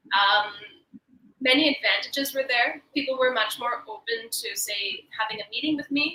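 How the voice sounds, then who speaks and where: A woman with a Canadian accent uses a raised, projected voice at a high pitch. Her intonation is lively and her pace moderate. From Canada. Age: 30s. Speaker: actress and producer. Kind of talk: panel Q&A session.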